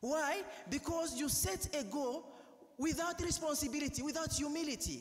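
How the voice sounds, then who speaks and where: A man with a Ugandan accent has an extremely high pitch and an animated tone. His loudness stays very even. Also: ordinary pitch variation, moderate pace. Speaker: priest. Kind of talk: sermon. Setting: church. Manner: earnest, exhorting; animated, rhetorical.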